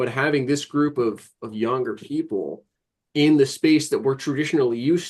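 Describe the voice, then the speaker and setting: Ordinary pitch variation marks this man's fairly high-pitched voice. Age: 20s. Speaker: model railroad podcast panelist. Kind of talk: casual group discussion. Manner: halting, repeats words.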